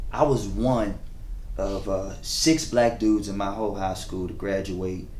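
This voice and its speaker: A fairly low-pitched man with an American accent and ordinary pitch variation, in audible room echo. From US South, Chesapeake, Virginia. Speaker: event coordinator. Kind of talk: casual interview.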